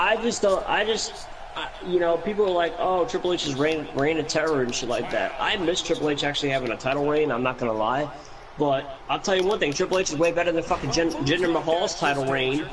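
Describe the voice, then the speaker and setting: Against noticeable background noise, a man speaks in an animated tone at a fairly quick pace, his pitch fairly high and its variation ordinary. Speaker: gamer streaming wrestling game with friends. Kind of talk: casual chat. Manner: loud.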